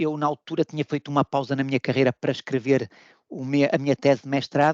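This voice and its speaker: In a European Portuguese accent, a man speaks at a fairly quick pace, the sound dry and close with no echo against a quiet background. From Portugal. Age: 40s. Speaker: food quality manager. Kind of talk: interview. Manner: halting, many repetitions.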